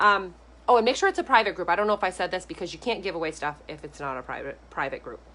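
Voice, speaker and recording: A woman is speaking. She goes at a very fast pace. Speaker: direct sales consultant and online coach. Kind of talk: live video training. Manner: animated.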